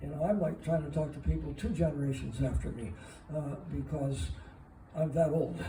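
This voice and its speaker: Moderately paced male speech, with noticeable background noise and audible echo from the room. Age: 80s+. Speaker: former counterculture figure giving a talk. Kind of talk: Q&A after a talk. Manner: halting, many filler 'uh's.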